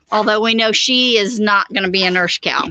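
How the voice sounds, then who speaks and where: With an American accent, a woman talks. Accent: slight Okie accent, toned down. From Oklahoma. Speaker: homesteader, live stream co-host. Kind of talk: casual live chat.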